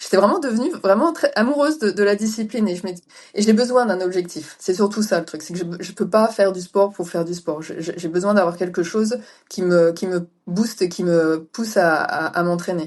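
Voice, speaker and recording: With a plain, everyday voice, a woman speaks at medium pitch and a moderate pace, showing ordinary pitch variation and big swings in loudness. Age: 40s. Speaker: ultra-distance cyclist. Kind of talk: interview.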